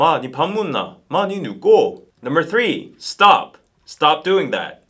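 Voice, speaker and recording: A man with a Busan accent speaks in a high pitch at a moderate pace. His tone is bright and sharp. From Busan, South Korea. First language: Korean. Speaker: language teacher.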